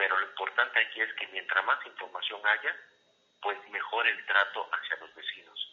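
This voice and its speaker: A man talks at moderate speed, his loudness rising and falling in big swings. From Mexico, Campeche. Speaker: politician. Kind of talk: interview. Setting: at home, remote call.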